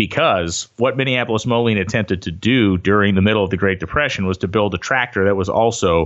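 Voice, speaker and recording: A plain, everyday voice moves at a fairly quick pace with very even loudness and ordinary pitch variation. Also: man. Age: 40. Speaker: drag racing announcer and automotive writer. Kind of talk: casual interview. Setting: phone call.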